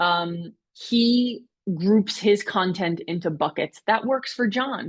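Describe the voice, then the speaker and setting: An animated voice from a woman comes over a quiet background. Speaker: webinar presenter. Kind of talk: webinar tutorial. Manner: loud. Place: home room.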